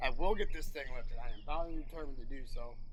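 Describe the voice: A man with a medium-pitched voice talks fast, with ordinary pitch variation.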